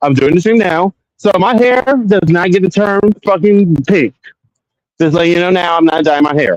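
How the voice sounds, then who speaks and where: This man's voice sits high and moves with lively intonation. The recording is dry and close, without any echo. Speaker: streamer. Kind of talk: casual live stream chat. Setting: outdoors in a cemetery. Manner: loud; sassy, animated.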